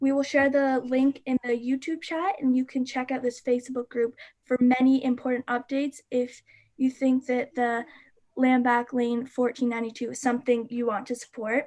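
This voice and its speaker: A woman speaks at a high pitch in a monotone with flat intonation. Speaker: youth climate activist. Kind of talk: livestream presentation. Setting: live stream. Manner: fast.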